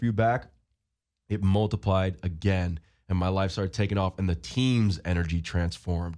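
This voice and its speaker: There is little sound behind this man. His pitch rises and falls in an ordinary way. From Long Island, New York. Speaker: football player. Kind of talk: interview.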